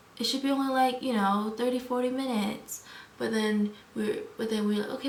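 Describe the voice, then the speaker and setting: A woman's very fast speech in an American accent, with audible room echo. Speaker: vlogger. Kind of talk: casual vlog storytelling. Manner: animated.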